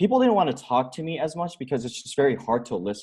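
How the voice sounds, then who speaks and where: The man's voice makes very wide pitch swings. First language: Korean. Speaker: entrepreneur and author. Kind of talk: podcast interview. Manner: hesitant, many fillers and restarts.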